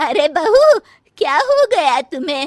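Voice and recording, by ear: Putting on a cartoonish character voice, a woman speaks slowly at an extremely high pitch with big pitch swings.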